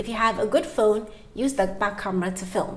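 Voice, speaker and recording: Amid noticeable background noise and audible room echo, a woman talks at a fairly quick pace and a medium pitch. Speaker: YouTuber. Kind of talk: tutorial. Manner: fast.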